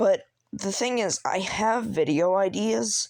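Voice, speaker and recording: At a very slow pace, the voice shows vocal fry and very wide pitch swings. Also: woman. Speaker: small YouTuber. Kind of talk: unscripted solo rant. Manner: halting, stuttering; casual, filler-heavy.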